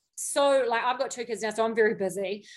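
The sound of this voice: A woman's fairly high-pitched voice at a fast pace. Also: ordinary pitch variation.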